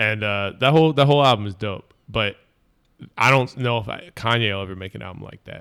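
This man has a normal speaking voice with a fairly low pitch and ordinary pitch variation. He talks at a fairly quick pace, with big swings in loudness. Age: 30s. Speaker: rapper. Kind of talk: casual chat.

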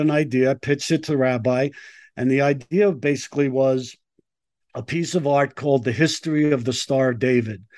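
A man with an American accent speaks in a normal speaking voice at a fairly high pitch and a moderate pace. His intonation is fairly even, and the background is quiet. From US Northeast (Brooklyn, New York). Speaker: artist and filmmaker. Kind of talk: interview.

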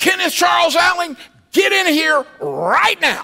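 Someone uses a put-on character voice at an extremely high pitch, raised and projected. The tone is stern and the pace fairly slow. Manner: stern, scolding.

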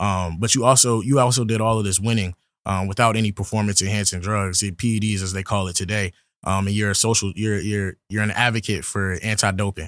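A man with an American accent, fairly low-pitched and very fast, with fairly even intonation, on a very clean recording with a silent background. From Virginia. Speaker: student podcast host. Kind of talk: interview.

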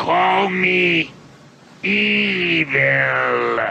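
A raspy, very deep, low put-on character voice from a man. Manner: menacing.

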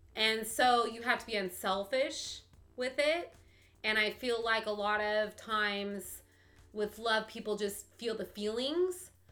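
With music in the background, a woman speaks fairly slowly at a fairly high pitch with ordinary pitch variation. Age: 40s. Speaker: podcast guest. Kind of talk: casual chat.

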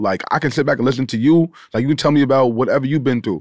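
The speaker has a Long Island accent. Pitch variation is ordinary. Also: man. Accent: Long Island New York. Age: 30s. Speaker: podcast host. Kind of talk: casual chat. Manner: fast talker.

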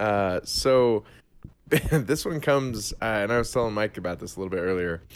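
Moderately paced, a man talks in a normal speaking voice, fairly low in pitch with ordinary pitch variation. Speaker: podcast host. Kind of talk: casual banter podcast. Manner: laughing, joking.

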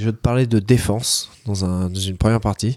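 On a very clean recording with a silent background, a man speaks in a dark, mellow tone at a fairly low pitch with ordinary pitch variation. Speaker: jiu-jitsu competitor and podcast co-host. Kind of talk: casual chat.

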